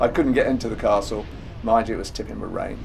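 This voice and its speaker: A man's voice carries audible room echo, with music playing in the background. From England. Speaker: travel vlogger. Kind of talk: travel guide narration. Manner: casual, chatty.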